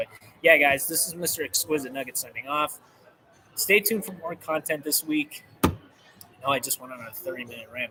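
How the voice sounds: Putting on a raspy character voice with a fairly high pitch, a man talks at a fairly quick pace with long, frequent pauses.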